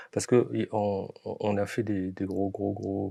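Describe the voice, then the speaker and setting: A man's dark, mellow voice, fairly low in pitch, at a very slow pace in a dry, close sound with no echo. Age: 60s. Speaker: film producer, former finance engineer. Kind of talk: interview. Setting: podcast studio. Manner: halting, many fillers and repetitions.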